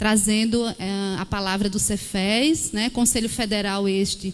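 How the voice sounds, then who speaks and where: Here a woman speaks in an Alagoas accent. Her pitch is fairly high. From Alagoas, Brazil. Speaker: social worker. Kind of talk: formal speech.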